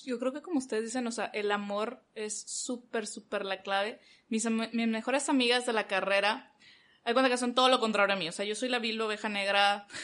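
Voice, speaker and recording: Speaking at a fairly quick pace with fairly even intonation, a woman with a fairly high pitch has a plain, everyday voice against a quiet background. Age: 20s. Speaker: communications graduate and church volunteer. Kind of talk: casual chat.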